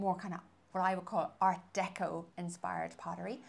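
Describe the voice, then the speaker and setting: At a moderate pace, a woman with a slight American accent speaks at a medium pitch. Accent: slight American tinge. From west coast of Ireland. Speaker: interviewer. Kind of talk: interview questions.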